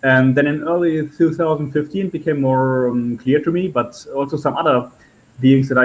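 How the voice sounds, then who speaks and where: A man speaks with a German accent at a medium pitch. His intonation stays fairly even. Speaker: spiritual channeler. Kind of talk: interview storytelling. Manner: halting, with many fillers.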